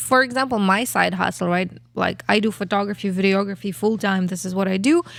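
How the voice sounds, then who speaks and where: A woman's medium-pitched voice with a Kazakh accent, very fast, with ordinary pitch variation, in a very clean recording over a silent background. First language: not English. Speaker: podcast co-host, photographer. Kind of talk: casual chat.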